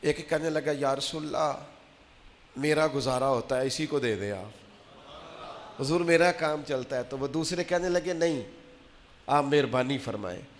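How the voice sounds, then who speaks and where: Ordinary pitch variation in a man's fairly high voice, a normal speaking voice. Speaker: Islamic preacher giving a Friday sermon. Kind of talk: religious sermon, emotional delivery to an audience.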